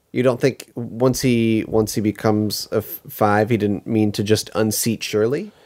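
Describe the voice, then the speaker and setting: A man speaks at a moderate pace with hardly any pauses, his pitch fairly low and his intonation fairly even. His loudness stays very even, in an unremarkable speaking voice. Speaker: podcast co-host. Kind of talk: casual chat, episode-recap podcast.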